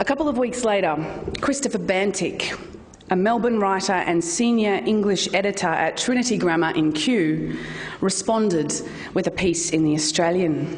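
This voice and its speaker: A woman of medium pitch speaks at a moderate pace with lively intonation over noticeable background noise. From Australia. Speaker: poet and spoken word performer. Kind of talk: public talk, polemic. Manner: energetic.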